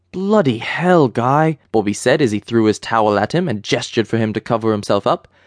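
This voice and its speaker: Speaking in a normal speaking voice, a man talks at a fairly quick pace with lively intonation, in a dry, close sound with no echo against a quiet background. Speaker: audiobook narrator. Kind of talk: audiobook narration of a satirical comedy, reading prose with character dialogue.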